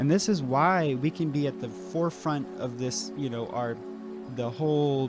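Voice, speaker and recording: A man's medium-pitched voice at a moderate pace, with music in the background. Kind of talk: educational lecture to camera. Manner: hesitant, halting.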